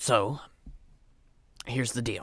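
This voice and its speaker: Using a put-on character voice, a man sounds raspy at a medium pitch. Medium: actual play. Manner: folksy, plain-spoken.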